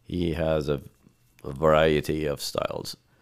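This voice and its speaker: A man talks with a very deep, low pitch at a fairly slow pace. The recording is very clean, the background silent. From Lebanon. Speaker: conductor. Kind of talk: interview.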